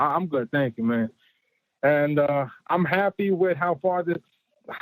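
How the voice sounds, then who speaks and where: Speaking in a New York accent with lively intonation, the voice sounds dry and close with no echo. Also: man. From New York City. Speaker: caller. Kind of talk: casual chat. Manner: halting.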